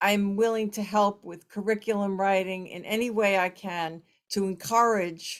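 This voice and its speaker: A plain, everyday voice with an American accent, at a fairly slow pace and with ordinary pitch variation, on a very clean recording with a silent background. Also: woman. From United States. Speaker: yoga practitioner and former educator. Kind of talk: ceremony speech.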